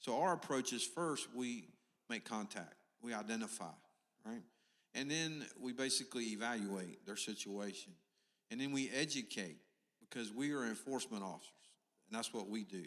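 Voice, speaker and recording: Using lively intonation and long, frequent pauses, a man talks at a moderate pace in a medium pitch. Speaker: police officer. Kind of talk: town hall remarks. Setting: church community meeting. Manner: loud.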